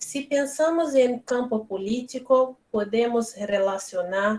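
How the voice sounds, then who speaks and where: A woman speaks at a very slow pace in a Brazilian accent. Her pitch varies in an ordinary way. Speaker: philosophy lecturer. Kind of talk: reading aloud. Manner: halting.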